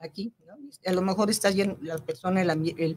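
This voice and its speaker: Her voice has a dark, mellow tone, somewhat breathy, with fairly even intonation as this woman talks at a fairly quick pace. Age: 70s. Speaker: spiritual growth teacher. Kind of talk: interview. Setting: radio studio. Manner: halting.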